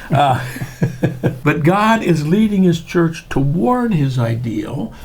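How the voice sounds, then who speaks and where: Male speech in a room with audible echo, pitch swinging very widely, and noticeable noise in the background. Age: 70s. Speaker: church historian and theologian. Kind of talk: interview.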